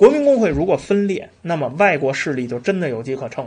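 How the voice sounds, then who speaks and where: A man talks at a fairly quick pace in a high pitch. His pitch swings very widely against a quiet background. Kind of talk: storytelling history lecture. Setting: solo pre-recorded episode. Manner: conversational with frequent fillers and rhetorical questions.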